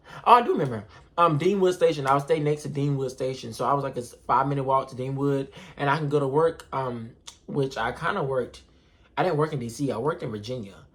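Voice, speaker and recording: Speaking very fast, a man with an American accent uses a fairly high pitch. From North Carolina. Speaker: vlogger. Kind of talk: casual vlog storytelling.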